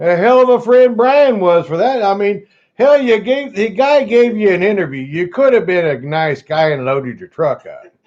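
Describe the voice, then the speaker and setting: This man talks at a moderate pace with hardly any pauses, his pitch high and swinging very widely. His loudness also rises and falls in big swings. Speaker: gold prospecting livestream host. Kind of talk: casual livestream chat.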